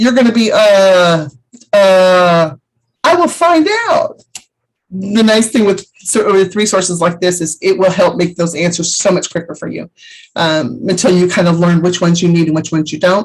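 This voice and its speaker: A woman speaks at a medium pitch with a somewhat breathy quality. Her pitch varies in an ordinary way, and her pace is moderate. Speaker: travel agent vendor trainer. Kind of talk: training webinar.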